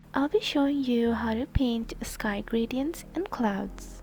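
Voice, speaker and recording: The speech moves at a very slow pace with music in the background. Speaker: digital artist. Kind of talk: tutorial voice-over.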